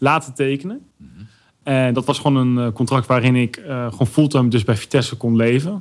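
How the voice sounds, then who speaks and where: A man with a normal speaking voice, fairly high in pitch, at a moderate pace with ordinary pitch variation. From Netherlands, Arnhem. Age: 30s. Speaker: YouTuber and influencer. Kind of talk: podcast interview.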